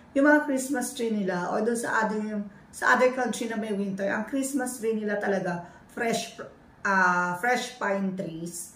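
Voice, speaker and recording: Amid noticeable background noise and audible room echo, a woman talks at a fairly slow pace and a fairly high pitch. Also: ordinary pitch variation. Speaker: family vlogger. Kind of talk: casual show-and-tell vlog. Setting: at home.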